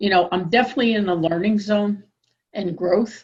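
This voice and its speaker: Her voice is somewhat breathy, a woman's medium pitch with ordinary pitch variation. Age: 60s. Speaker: workshop participant. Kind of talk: workshop discussion. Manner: halting.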